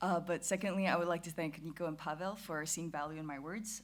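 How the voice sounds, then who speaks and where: Fairly quick speech comes from a woman with a fairly low pitch and ordinary pitch variation. Audible room echo surrounds her voice. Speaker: philosophy student and YouTuber. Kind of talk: conference talk. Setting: conference stage with audience. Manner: fast; casual, hesitant with fillers.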